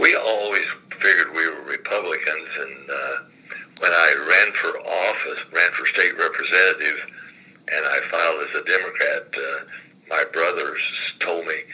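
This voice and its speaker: A man with an American accent uses a raised, projected voice at an extremely high pitch. He keeps a moderate pace and fairly even intonation. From southern Indiana, Lawrence County. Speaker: retired state legislator. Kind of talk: oral history interview. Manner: halting, many fillers.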